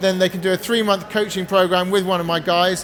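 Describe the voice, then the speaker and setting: There is noticeable background noise behind this man. His high voice stays monotone, with flat intonation. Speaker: addiction recovery coach. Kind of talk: seminar talk with sales pitch. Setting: stage with audience. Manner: fast.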